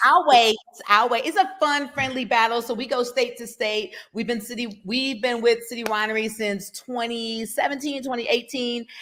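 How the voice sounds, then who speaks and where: A woman with a high voice speaks in an animated tone and an American accent, hardly pausing, with ordinary pitch variation and noticeable background noise. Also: moderate pace. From Detroit, Michigan. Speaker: poet. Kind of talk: interview.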